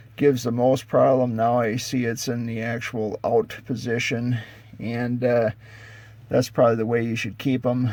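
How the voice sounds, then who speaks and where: A medium-pitched male voice at a moderate pace, with noticeable background noise. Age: 60s. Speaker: farmer restoring a tractor, video maker. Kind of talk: casual how-to video with a rant. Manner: halting, many filler words.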